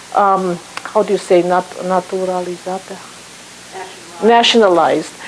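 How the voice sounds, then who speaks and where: Amid noticeable background noise, a woman with a Romanian accent speaks at a moderate pace and medium pitch in a monotone, flat intonation. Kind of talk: guest talk to an audience.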